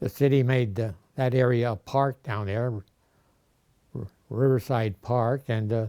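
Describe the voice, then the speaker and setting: Pausing long and often, a man speaks at a fairly slow pace in a dark, mellow tone of medium pitch with fairly even intonation, on a very clean recording with a silent background and a dry, close sound with no echo. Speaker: oral history interviewee. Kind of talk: oral history interview. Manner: halting, many filler uhs.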